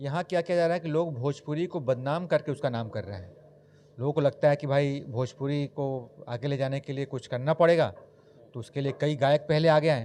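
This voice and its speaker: A man talks in a dark, mellow tone at a fairly high pitch, varying it in an ordinary way. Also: moderate pace. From Bihar, India. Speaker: news anchor. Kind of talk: interview answer. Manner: animated, passionate.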